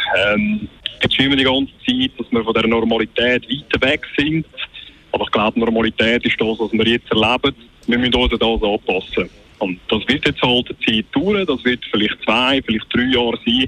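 Amid noticeable background noise, the speaker talks with a Swiss accent at a moderate pace and ordinary pitch variation. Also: man, medium pitch for a man. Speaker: radio caller. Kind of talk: call-in talk radio. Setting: phone call.

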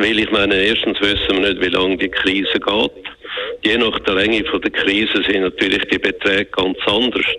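The voice is monotone and flat, with very even loudness and a moderate pace, against noticeable background noise. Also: man, fairly low pitch for a man. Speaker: economist, former central banker. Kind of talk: radio interview. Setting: phone call.

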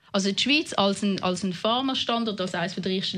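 The background stays quiet. A woman talks fairly fast. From Winterthur, canton of Zurich, Switzerland (from age nine). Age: 30s. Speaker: politician. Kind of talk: interview.

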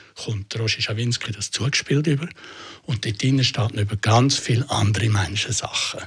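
A man's voice comes through somewhat breathy. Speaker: journalist, interviewer. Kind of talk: critical interview.

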